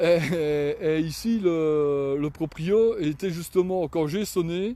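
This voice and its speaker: This man has a Belgian accent and a high pitch. His pace is very slow. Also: ordinary pitch variation. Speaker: cyclist vlogger. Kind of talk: casual live vlog. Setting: outdoors. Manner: halting.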